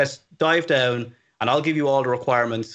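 Against a quiet background, a man with an Irish accent talks at a fairly quick pace with fairly even intonation. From Ireland, Dublin. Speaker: web developer, company CTO, freelancer. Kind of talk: interview, casual advice. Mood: relaxed, friendly. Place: home room. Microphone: studio mic.

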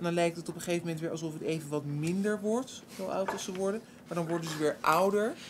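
Noticeable background noise sits behind a woman talking at a very fast pace. Her pitch varies in an ordinary way. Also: fairly low pitch for a woman. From Netherlands. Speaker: panelist. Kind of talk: bible study discussion. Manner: halting. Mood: curious, reflective. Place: hall. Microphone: podium.

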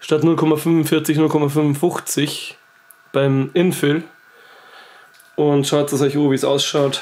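A man's fairly high voice, monotone and flat, at a very slow pace with long, frequent pauses and very even loudness. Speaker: YouTuber, 3D printing hobbyist. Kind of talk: casual tutorial.

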